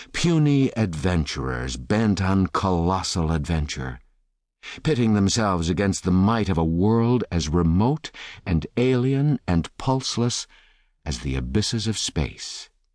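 Very deep and low, the man's voice carries a solemn tone, swinging very widely in pitch while its loudness stays very even. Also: fairly slow pace, quiet background. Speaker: audiobook narrator. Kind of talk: dramatic audiobook narration of a classic novel.

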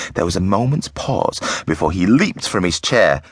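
The speaker does plain reading aloud. Lively intonation runs through it.

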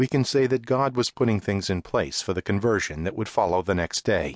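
The speech is dramatic and solemn in tone, moving at a moderate pace with lively intonation and vocal fry. The sound is dry and close with no echo, over a quiet background. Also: man. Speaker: audiobook narrator. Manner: dramatic, solemn, reverent narration with measured pacing.

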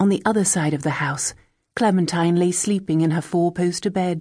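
Against a quiet background, a woman speaks in a dark, mellow tone. She is somewhat breathy, her intonation fairly even. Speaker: audiobook narrator. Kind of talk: dramatic audiobook narration, reading a novel aloud. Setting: studio. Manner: measured, hushed and atmospheric, building tension.

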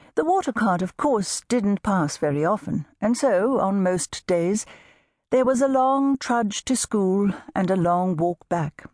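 Speaking in an ordinary speaking voice, a woman talks at a fairly slow pace. Her medium pitch carries lively intonation. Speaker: audiobook narrator. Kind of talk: audiobook narration, unabridged novel reading. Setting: studio. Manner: measured, warm storytelling pace, gently expressive; shifts into character voices for dialogue.

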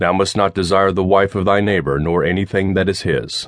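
An ordinary speaking voice, a man's with fairly low pitch, comes at a moderate pace in a dry, close sound with no echo. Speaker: audiobook narrator. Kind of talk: audiobook reading of nonfiction history, read aloud from a script. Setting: studio. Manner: formal, measured, steady narration.

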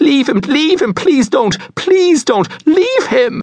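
A man's put-on character voice, extremely high-pitched and shaky, with big pitch swings at a slow pace.

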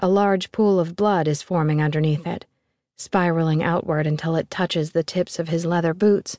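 Against a quiet background, a woman speaks in a dark, mellow, fairly low voice with fairly even intonation, the sound dry and close with no echo. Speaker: audiobook narrator. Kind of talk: dramatic first-person horror narration, reading aloud. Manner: measured, haunting, slow pacing.

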